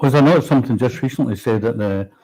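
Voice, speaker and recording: A man speaks with a Scottish accent and ordinary pitch variation. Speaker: politician. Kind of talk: political talk show discussion. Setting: livestream from Westminster.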